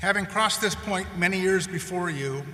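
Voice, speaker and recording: A man with an American accent and ordinary pitch variation, amid noticeable background noise and audible room echo. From rural North Dakota, US Midwest. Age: 60s. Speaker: commencement speaker. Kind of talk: commencement speech. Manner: formal.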